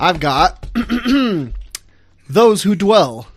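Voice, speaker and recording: This man talks with noticeable background noise in the mix. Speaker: recurring segment reporter for a gaming podcast. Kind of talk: pre-recorded comedic segment. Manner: animated.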